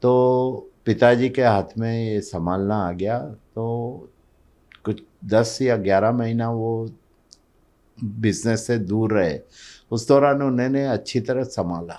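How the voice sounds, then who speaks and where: Against a quiet background, a man with a medium pitch and a dark, mellow tone speaks with ordinary pitch variation. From Mumbai, India (born in Kutch, Gujarat). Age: 70s. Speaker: business leader. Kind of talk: podcast interview.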